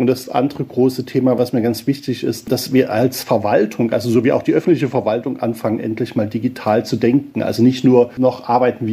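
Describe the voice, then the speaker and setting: A man speaks at a moderate pace and medium pitch. His dark, mellow tone carries fairly even intonation. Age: 50s. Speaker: pastor. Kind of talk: interview.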